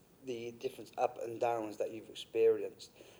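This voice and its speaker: At a fairly quick pace, a man speaks with a British accent. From UK. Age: 30s. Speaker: podcast host, business owner. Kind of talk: casual podcast interview.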